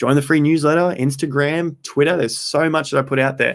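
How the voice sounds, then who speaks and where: A man's fairly high-pitched voice in an Australian accent. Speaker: crypto trading streamer. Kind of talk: live stream chat. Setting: live stream, under studio lights.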